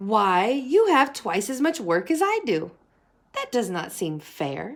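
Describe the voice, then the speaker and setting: Putting on a squeaky character voice, a woman speaks at a fairly slow pace in a fairly high pitch with very wide pitch swings. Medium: read story.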